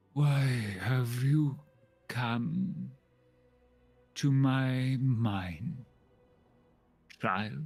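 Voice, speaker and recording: A man puts on a character voice at a medium pitch and a very slow pace. Long, frequent pauses break up his speech. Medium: actual play. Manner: weary, slow.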